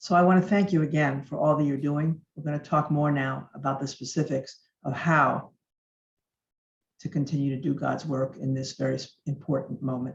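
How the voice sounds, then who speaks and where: A woman speaks at a moderate pace with a very deep, low pitch and a somewhat breathy quality. Her intonation stays fairly even. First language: Yiddish and Russian. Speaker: speaker. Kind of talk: speech.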